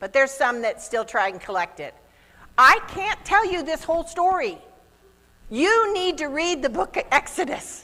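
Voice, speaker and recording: A woman's animated, raised and projected voice, extremely high in pitch with very wide pitch swings, at a moderate pace. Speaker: youth pastor. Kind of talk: children's sermon with object lesson.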